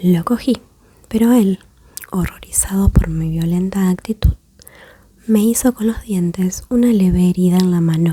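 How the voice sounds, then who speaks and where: A soft-spoken woman whispers at a fairly slow pace. Her speech has long, frequent pauses. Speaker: ASMR creator. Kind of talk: ASMR story reading. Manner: whispered, soft-spoken.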